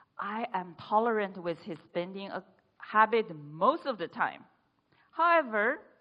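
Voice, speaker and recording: Speaking at a fairly slow pace, a woman has a medium pitch. Her voice moves in very wide pitch swings. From China. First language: Chinese. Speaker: speech contestant. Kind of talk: humorous speech.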